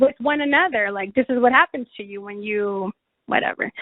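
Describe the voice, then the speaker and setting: Lively intonation at a moderate pace, in a Spanish accent. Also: woman. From Mexico. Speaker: chaplain and webinar presenter. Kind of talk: webinar presentation with Q&A. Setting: online webinar.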